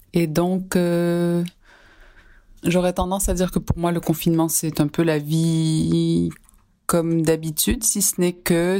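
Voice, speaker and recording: Music plays in the background as a woman speaks at a very slow pace. Her pitch is very deep and low. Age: 40s. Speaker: listener sharing lockdown diary, student and nonprofit worker. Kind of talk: recorded personal testimony.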